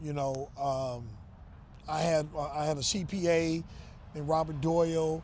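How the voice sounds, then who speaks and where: Speaking with an American accent at a moderate pace, a man uses a fairly high pitch and monotone, flat intonation, with audible room echo. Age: 60s. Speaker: real estate investor. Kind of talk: interview. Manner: casual, conversational.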